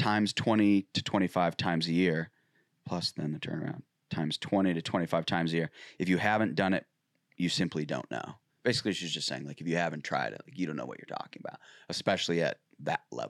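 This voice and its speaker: Quiet yet energetic, a man talks very fast at a very deep, low pitch with vocal fry and ordinary pitch variation, in a very clean, dry, close recording with a silent background and no echo. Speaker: podcast co-host. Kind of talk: casual chat. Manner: starts energetic then fades quieter.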